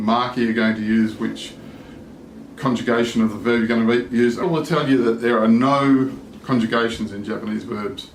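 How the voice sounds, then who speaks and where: A man with an Australian accent talks at a moderate pace and a medium pitch, his intonation fairly even. Noticeable background noise and audible room echo are present. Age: 60s. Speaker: language learner vlogger. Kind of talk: casual vlog monologue.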